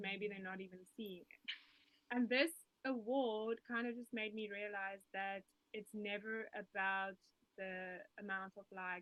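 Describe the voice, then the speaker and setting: Her medium-pitched voice holding fairly even intonation, a woman talks at a moderate pace. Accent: South African. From South Africa. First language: Afrikaans. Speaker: musician and health coach. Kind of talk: interview.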